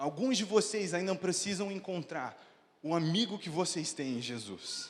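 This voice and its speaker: This man's voice is high in pitch and animated in tone, with lively intonation. He speaks at a fairly slow pace over noticeable background noise. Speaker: pastor. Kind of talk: sermon.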